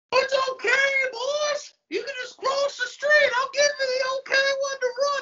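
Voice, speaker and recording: A put-on character voice with an extremely high pitch speaks at a moderate pace. Its intonation stays monotone and flat. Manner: odd, creepy.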